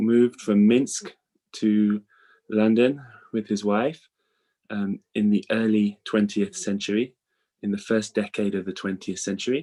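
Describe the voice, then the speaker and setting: With a British accent, a man speaks in a fairly low, dark, mellow voice. He goes fairly slowly with fairly even intonation and long, frequent pauses. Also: very clean recording, silent background. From England. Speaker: rabbi. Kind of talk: lecture. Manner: hesitant, many fillers.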